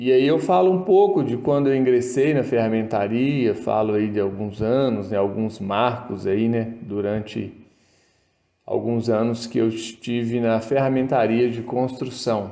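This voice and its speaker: Against audible room echo, a man talks fairly slowly at medium pitch in a dark, mellow tone with ordinary pitch variation. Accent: rural Minas Gerais. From Brazil, Minas Gerais (Ponte Nova). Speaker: toolmaking instructor, YouTuber. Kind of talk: casual tutorial talk.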